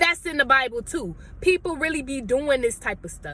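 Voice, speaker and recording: Raised and projected, a woman's high-pitched voice moves at a fairly quick pace with an animated, bright, sharp tone. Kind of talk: sermon-style vlog.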